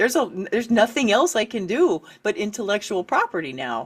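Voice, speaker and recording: At a moderate pace, a woman speaks in a fairly high pitch with vocal fry and very wide pitch swings. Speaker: author and writing coach. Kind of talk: interview.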